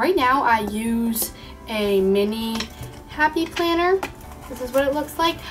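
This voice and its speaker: Over music in the background, a woman speaks with a high pitch. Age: young. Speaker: college student. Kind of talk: casual talk to camera.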